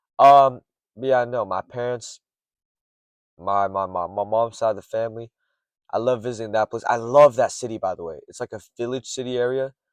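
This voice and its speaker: A man with an American accent speaks at a medium pitch and a moderate pace, with fairly even intonation and long, frequent pauses. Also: quiet background. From US, early childhood in China. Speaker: streamer / content creator. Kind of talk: casual solo monologue. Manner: rambling, casual with filler words.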